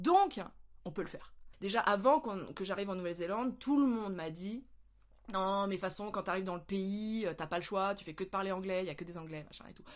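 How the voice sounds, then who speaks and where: This voice has an animated tone, ordinary pitch variation and a fairly quick pace. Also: woman. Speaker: vlogger. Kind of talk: casual vlog talk. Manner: hesitant with fillers.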